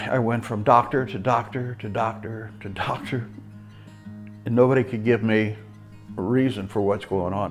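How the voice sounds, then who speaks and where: Music plays in the background as the speaker talks with fairly even intonation and long, frequent pauses. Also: man, medium pitch for a man, moderate pace. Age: 70s. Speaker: rehabilitation patient. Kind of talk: testimony.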